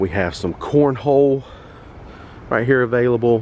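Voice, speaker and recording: A man talks at a medium pitch with a Southern US accent. Noticeable background noise runs behind him. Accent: Southern drawl. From North Carolina, US South. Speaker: travel vlogger. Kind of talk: walking tour vlog. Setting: outdoors at a resort. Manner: casual, chatty.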